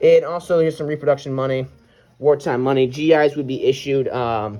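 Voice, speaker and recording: A man with a fairly high pitch speaks in a plain, everyday voice. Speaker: WWII reenactor. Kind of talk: show-and-tell tutorial.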